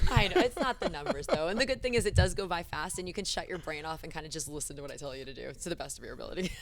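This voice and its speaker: With music in the background, a woman talks at a very fast pace in an energetic tone, with big swings in loudness and hardly any pauses. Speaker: fitness coach. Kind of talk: casual chat. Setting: fitness studio.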